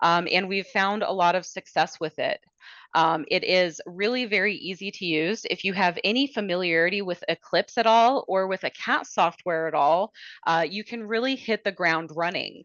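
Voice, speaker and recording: At a moderate pace, a woman uses a normal speaking voice at medium pitch with ordinary pitch variation. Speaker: software product demonstrator. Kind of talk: product demo webinar. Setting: webinar.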